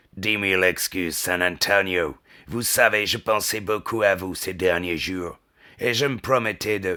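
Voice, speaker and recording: A man uses a put-on character voice that is raspy and fairly low, with fairly even intonation. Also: moderate pace, very clean recording, silent background. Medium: read story.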